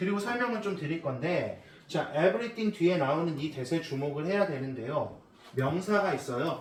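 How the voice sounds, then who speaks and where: Amid noticeable background noise and audible room echo, a man talks at a moderate pace with lively intonation. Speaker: English teacher. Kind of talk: lecture.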